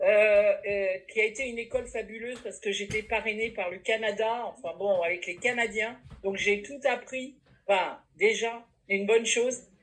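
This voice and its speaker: A woman speaks at a moderate pace in a plain, everyday voice. Her intonation is fairly even, though her loudness swings widely. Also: fairly high pitch for a woman. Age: 60s. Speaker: network marketing distributor. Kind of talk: testimony.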